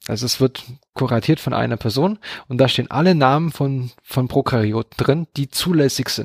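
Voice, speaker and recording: In a dry, close recording with no echo, a man speaks at a moderate pace and medium pitch, somewhat breathy, with ordinary pitch variation. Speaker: science podcast co-host. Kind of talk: casual science chat.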